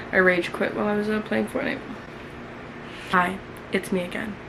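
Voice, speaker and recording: Over noticeable background noise and audible room echo, a woman with an American accent talks in an animated tone. Her pace is fairly quick. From New York. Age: 20s. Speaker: YouTuber. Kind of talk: casual chat, reading own diary aloud.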